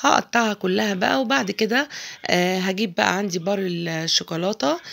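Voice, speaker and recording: A woman speaks at a medium pitch with vocal fry. Her intonation is lively. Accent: Egyptian. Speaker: cooking channel host. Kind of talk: cooking tutorial. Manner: chatty, informal.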